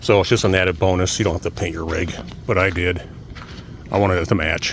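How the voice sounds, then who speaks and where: Against noticeable background noise, a man with a very deep, low pitch talks at a very fast pace with fairly even intonation. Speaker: DIY builder and channel owner. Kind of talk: casual tutorial. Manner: monotone.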